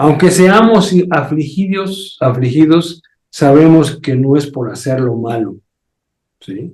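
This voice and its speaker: Amid audible room echo, a man with a fairly high pitch speaks at a very slow pace, somewhat breathy, with lively intonation and big swings in loudness. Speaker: pastor. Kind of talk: sermon.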